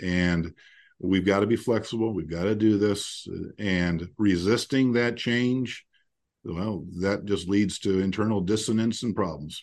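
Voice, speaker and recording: A man's fairly low, fairly slow voice with ordinary pitch variation against a quiet background. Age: 50s. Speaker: podcast host, founder of a financial network for attorneys. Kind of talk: casual interview chat. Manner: halting, with many fillers and repetitions.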